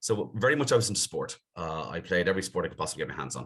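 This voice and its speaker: A man speaks with a Dublin accent. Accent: Dublin Irish. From Dublin, Ireland (Clontarf, north side). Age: 50s. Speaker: business executive. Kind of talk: podcast interview.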